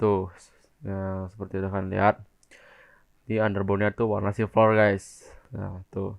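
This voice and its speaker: Intonation here is monotone and flat. The pace is moderate, broken by long, frequent pauses. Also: man, fairly low pitch for a man. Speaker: motovlogger. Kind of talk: casual vlog, unboxing review.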